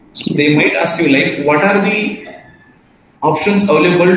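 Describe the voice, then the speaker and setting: A man speaks in a high voice with ordinary pitch variation. There is audible room echo and noticeable background noise. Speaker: software testing trainer. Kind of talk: online class tutorial.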